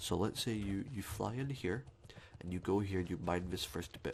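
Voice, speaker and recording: A man speaks with a very deep, low pitch and a somewhat breathy quality. His pitch varies in an ordinary way. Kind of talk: ASMR gaming commentary. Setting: close microphone. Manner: soft-spoken, whispered.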